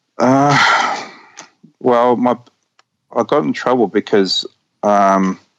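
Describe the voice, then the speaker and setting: Speaking very slowly with long, frequent pauses, a man with a New Zealand accent uses a medium pitch and ordinary pitch variation in a dry, close sound with no echo. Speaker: caller. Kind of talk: call-in interview. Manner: halting, repetitive stammering.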